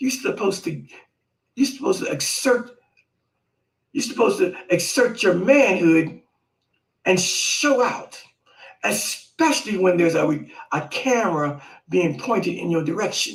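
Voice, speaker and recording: The voice is animated, with very wide pitch swings, a moderate pace and long, frequent pauses. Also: man, high pitch for a man. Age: 60s. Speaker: live stream host. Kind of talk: casual commentary. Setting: live video stream.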